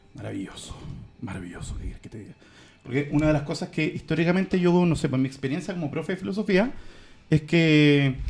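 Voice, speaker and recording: A man with a Chilean accent talks at a very fast pace. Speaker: podcast co-host, philosophy teacher. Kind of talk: casual chat.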